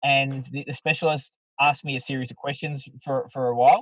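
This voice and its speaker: A man's somewhat breathy voice comes through with a dry, close sound and no echo. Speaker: MC and public speaking coach. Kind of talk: casual podcast interview. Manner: fast; animated.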